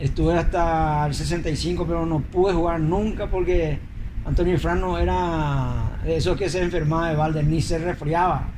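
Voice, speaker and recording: A man speaks at a moderate speed, his voice carrying audible room echo amid noticeable background noise. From Paraguay, Asunción (La Chacarita). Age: 70s. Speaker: retired footballer. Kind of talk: interview testimony.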